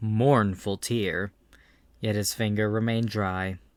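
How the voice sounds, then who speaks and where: In a very clean recording with a silent background, a man speaks fairly slowly at a fairly low pitch in a plain, everyday voice. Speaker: audiobook narrator. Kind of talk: audiobook narration.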